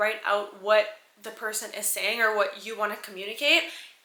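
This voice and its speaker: An animated tone comes at a fairly quick pace. Noticeable background noise and audible room echo surround it. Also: woman. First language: French. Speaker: lifestyle vlogger. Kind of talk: casual tech review vlog. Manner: animated, chatty.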